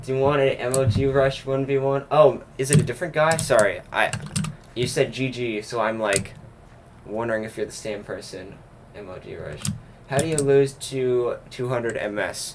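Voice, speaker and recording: An unremarkable speaking voice from a man at medium pitch, moderate pace, fairly even intonation and big swings in loudness. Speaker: gaming livestreamer. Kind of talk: casual chat. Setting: livestream while gaming.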